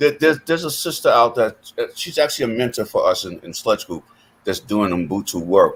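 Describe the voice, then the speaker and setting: A man with an American accent, fairly quick, with big swings in loudness. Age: 60s. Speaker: panelist and mentoring group leader. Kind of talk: panel discussion. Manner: halting, repeating words.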